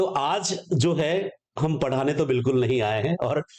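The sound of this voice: At a moderate pace, a man speaks at fairly high pitch in a slightly mellow tone with ordinary pitch variation.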